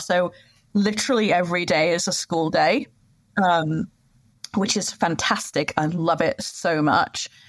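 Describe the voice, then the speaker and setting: On a very clean recording with a silent background, a woman in a British accent talks at a fairly low pitch with ordinary pitch variation. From UK. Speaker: sustainability manager. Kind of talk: interview. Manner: hesitant fillers.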